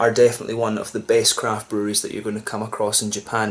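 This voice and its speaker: His pace is very fast. The man's pitch varies in an ordinary way. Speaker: beer reviewer. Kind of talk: casual review chat. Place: home room. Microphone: camera far.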